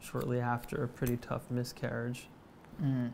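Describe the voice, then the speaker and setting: A man talks in a monotone, flat way, with light background noise behind him. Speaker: interview guest. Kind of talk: interview answer. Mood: somber, emotional. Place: shop.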